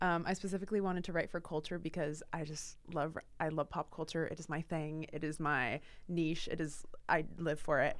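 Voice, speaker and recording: With an American accent and an unremarkable speaking voice, a woman talks at a fairly low pitch with fairly even intonation. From Portland, Oregon, US Pacific Northwest. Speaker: student writer. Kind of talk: casual interview.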